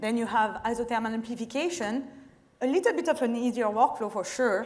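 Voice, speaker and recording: In a French accent, a woman talks at a moderate pace with lively intonation and a fairly high pitch. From France, French Alps. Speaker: chemist and startup co-founder. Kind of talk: pitch presentation. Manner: halting.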